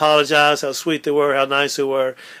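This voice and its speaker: The voice has a bright, sharp tone and a Louisiana accent. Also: man. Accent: Southern US (Louisiana). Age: 80s+. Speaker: oral history interviewee. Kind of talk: oral history interview. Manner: halting, many fillers.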